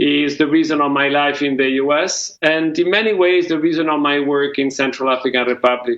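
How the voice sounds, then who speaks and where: The speaker has a non-native accent and talks at a moderate pace with fairly even intonation. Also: man. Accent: foreign. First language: not English. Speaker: peace mediator. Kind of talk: award speech. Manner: halting.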